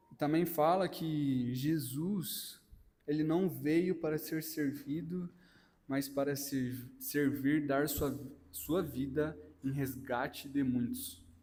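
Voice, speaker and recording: A man speaks very slowly with a dark, mellow tone and fairly high pitch. His intonation stays fairly even, and room echo is audible. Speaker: lay preacher. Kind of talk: sermon.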